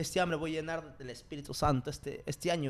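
Music plays in the background as a man with a fairly high pitch talks at a very fast pace. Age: 20s. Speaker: podcast host. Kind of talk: casual chat.

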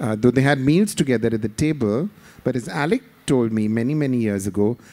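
Speaking at a fairly quick pace, a man has a medium pitch and a dark, mellow tone. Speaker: theatre director and author. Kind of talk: panel discussion at a literature festival.

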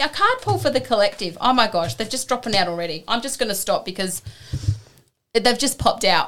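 A woman with a normal speaking voice, fairly high pitch, lively intonation, and a fairly quick pace. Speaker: co-host, Reiki practitioner. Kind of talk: casual chat.

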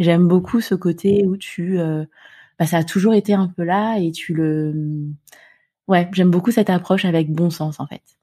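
Over a silent background in a very clean recording, a woman speaks at a moderate pace with a fairly low pitch, a dark, mellow tone, fairly even intonation and long, frequent pauses. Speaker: podcast host. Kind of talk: interview; scripted narration.

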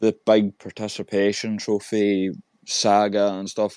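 A man with an Irish accent speaks in a fairly low, dark and mellow voice, recorded dry and close with no echo against a quiet background. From Ireland. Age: 20s. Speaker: podcast host. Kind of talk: casual chat.

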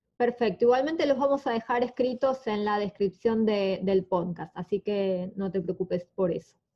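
Hardly pausing, a woman uses an unremarkable speaking voice at a medium pitch, moderate pace, and ordinary pitch variation. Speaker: podcast host. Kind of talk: interview. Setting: guest's home.

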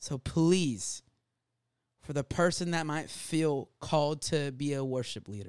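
A normal speaking voice in an American accent at a fairly slow pace, with ordinary pitch variation, a dry, close sound with no echo, and a very clean recording with a silent background. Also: man, fairly high pitch for a man. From Jacksonville, Florida. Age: 20s. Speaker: youth leader. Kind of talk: casual chat.

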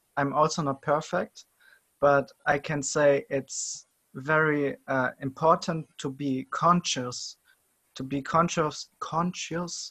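A man with a German accent, fairly high and bright, sharp in tone, at a very slow pace with fairly even intonation, dry, close sound with no echo, on a very clean recording with a silent background. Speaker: podcast host. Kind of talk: casual interview chat. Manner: halting.

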